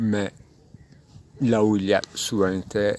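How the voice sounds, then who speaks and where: Speaking with a non-native accent, a man keeps a monotone, flat intonation at a fairly low pitch. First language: not French (speaking French). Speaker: philosophy speaker. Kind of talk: spontaneous philosophical monologue. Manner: halting, many hesitations.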